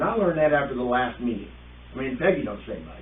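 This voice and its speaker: A man talking at a very fast pace, with noticeable background noise and audible room echo. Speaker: village trustee. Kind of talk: public meeting discussion. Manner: loud.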